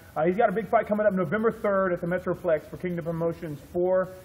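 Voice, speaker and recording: Speaking at a fairly quick pace, a man uses a high pitch. His intonation is fairly even. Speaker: MMA promoter interviewer. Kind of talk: casual interview host talk. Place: gym. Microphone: camera far.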